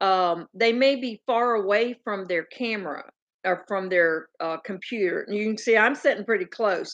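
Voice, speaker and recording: With a strong Southern US accent, a woman speaks at a medium pitch over a quiet background. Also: ordinary pitch variation, moderate pace. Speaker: farm channel host. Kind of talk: casual livestream chat. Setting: livestream, sitting close to computer. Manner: loud at times.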